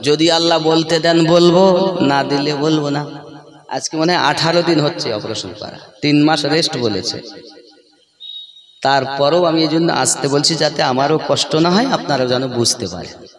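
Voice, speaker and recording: A man's fairly high voice with ordinary pitch variation, over noticeable background noise and audible room echo. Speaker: Islamic preacher. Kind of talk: sermon. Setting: religious gathering with audience.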